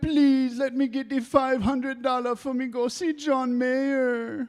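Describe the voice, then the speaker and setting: A high-pitched, put-on character voice is used here. The pace is fairly slow. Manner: whining, pleading.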